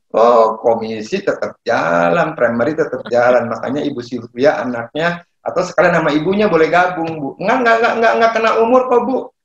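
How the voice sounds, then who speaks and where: Hardly pausing, a man speaks at a fairly quick pace and fairly high pitch, with very wide pitch swings. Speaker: property broker and seminar speaker. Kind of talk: online seminar talk. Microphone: a bit far from the mic.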